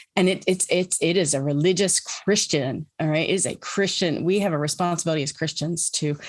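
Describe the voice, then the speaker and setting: Her very deep, low voice moves at a fairly quick pace with fairly even intonation. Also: quiet background. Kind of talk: webinar presentation. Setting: online webinar. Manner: fast; halting, many fillers.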